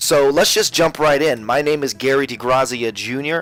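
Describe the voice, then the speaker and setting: Man with an American accent over noticeable background noise. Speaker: real estate agent. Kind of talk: webinar presentation. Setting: webinar. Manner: energetic.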